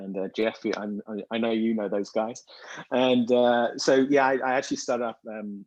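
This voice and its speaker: A man with a British accent talks at a fairly quick pace. His intonation is monotone and flat, over a quiet background. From Britain. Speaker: business intelligence company CEO, panelist. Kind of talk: panel discussion.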